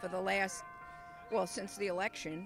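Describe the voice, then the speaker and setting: The voice has lively intonation, with music playing in the background. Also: woman. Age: 70s. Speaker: instructor. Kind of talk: interview. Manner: halting.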